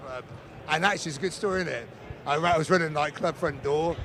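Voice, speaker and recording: A man speaks at a fairly high pitch with fairly even intonation, with noticeable background noise behind him. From England. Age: 40s. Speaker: racing fan, contest player's friend. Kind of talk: casual interview. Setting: casino tournament floor.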